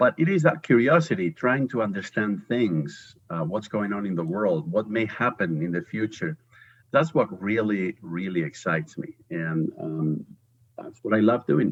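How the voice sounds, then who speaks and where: A man with a Spanish accent talks at a moderate pace, his fairly low voice swinging very widely in pitch. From Spain. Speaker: professor. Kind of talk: interview.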